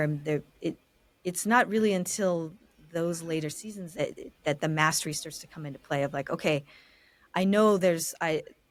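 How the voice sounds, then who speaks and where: A woman with an ordinary speaking voice talks at a moderate pace in an American accent. Her pitch is fairly low, with ordinary pitch variation. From California. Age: 30s. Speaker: architect. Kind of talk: interview conversation.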